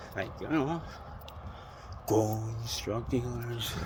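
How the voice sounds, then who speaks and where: A man speaks with an American accent at a medium pitch and fairly even intonation. Noticeable background noise runs underneath. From New York City, Queens. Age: 50s. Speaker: vlogger. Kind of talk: casual monologue vlog. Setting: outdoors, walking by a busy street at night. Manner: rambling, filler-heavy.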